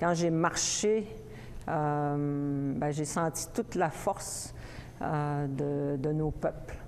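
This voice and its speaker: A woman's very deep, low voice at a very slow pace, with ordinary pitch variation and very even loudness. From Innu, Ekuanitshit, Quebec North Shore. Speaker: poet. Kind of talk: interview. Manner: halting.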